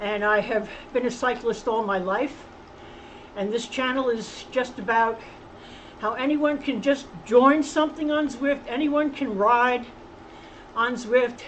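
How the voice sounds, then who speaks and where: Speaking at a fairly slow pace with long, frequent pauses, a woman with a high pitch and ordinary pitch variation is heard over noticeable background noise. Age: 70s. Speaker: cycling channel host. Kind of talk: casual vlog talk while riding. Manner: halting.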